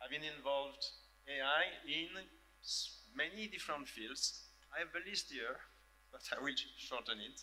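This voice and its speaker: A man talks with a French accent. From France. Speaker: professor. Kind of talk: panel discussion. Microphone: echo on the sound.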